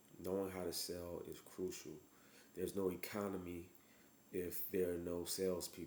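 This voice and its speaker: Speaking at a moderate pace with long, frequent pauses, a man has a very deep, low pitch, a dark, mellow tone and monotone, flat intonation, with audible room echo. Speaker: physician giving business advice. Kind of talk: motivational talk to camera. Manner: halting, stuttering; casual.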